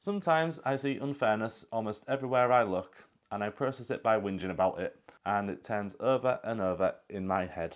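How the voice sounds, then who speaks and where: Lively intonation and a fairly quick pace, in a British accent. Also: man. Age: 40s. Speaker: vlogger. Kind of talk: personal monologue.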